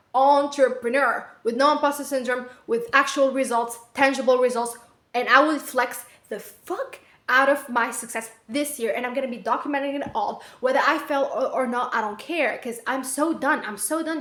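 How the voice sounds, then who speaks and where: The speaker has a non-native accent and an animated tone. The pace is moderate, with ordinary pitch variation. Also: woman. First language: not English. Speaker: vlogger, aspiring entrepreneur. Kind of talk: casual vlog monologue. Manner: rambling with fillers.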